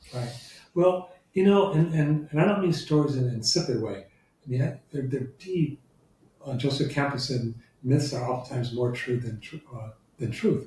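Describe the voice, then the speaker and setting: Pitched fairly high, a man speaks at a moderate pace with a dark, mellow, somewhat breathy tone. His pitch varies in an ordinary way, and he pauses long and often. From US Midwest, Detroit. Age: 70s. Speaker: law professor. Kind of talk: interview conversation.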